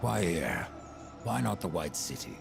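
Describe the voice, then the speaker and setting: A man in a put-on character voice, over loud background noise. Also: moderate pace. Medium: video game. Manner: sardonic, defiant.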